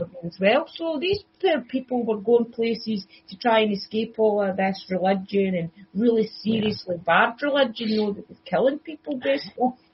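A woman speaks at a moderate pace with a fairly high, somewhat breathy voice. Her intonation is lively, and her loudness swings widely. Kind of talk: casual podcast conversation.

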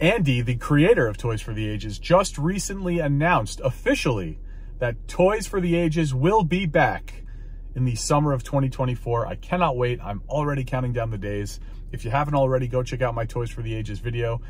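The man talks at a fairly quick pace. His sound is dry, with no echo. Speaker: toy collector vlogger. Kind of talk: casual vlog chat. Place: car. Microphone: phone near.

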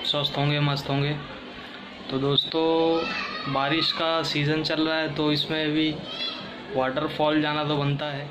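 Over noticeable background noise, a man speaks fairly slowly in a monotone, flat way. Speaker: travel vlogger. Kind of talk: casual vlog chat. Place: home room. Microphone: phone near.

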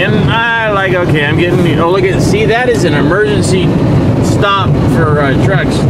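Dry sound with no echo, set against loud background noise. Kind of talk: casual vlog chat. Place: car. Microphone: phone near.

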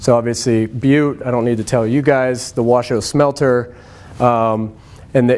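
Fairly even intonation from a man at a moderate pace. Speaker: presenter. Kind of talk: lecture. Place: classroom.

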